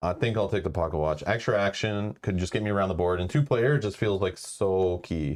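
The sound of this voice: An unforced reading voice with ordinary pitch variation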